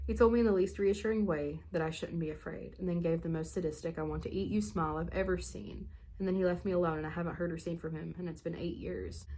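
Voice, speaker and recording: In a room with audible echo, a woman talks very fast with hardly any pauses. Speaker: spooky story channel host. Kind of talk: reading aloud. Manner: animated.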